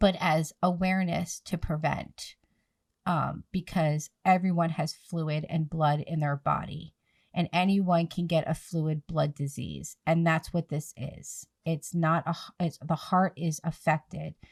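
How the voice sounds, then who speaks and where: A woman's somewhat breathy, fairly low voice, flat and monotone, in a dry, close sound with no echo and a very clean recording over a silent background. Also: fairly slow pace. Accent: American. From New Jersey / Philadelphia area, US. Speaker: podcast host, nonprofit founder, PPCM survivor. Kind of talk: podcast interview, advocacy talk.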